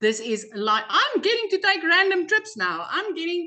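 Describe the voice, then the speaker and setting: A woman's raised, projected voice, animated and bright with a sharp tone, full of very wide pitch swings. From South Africa. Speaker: program member sharing success story. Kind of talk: testimony.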